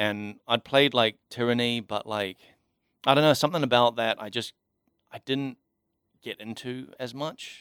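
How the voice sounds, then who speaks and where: Long, frequent pauses break up a man's medium-pitched speech, which moves at a moderate pace with ordinary pitch variation and big swings in loudness. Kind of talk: casual chat.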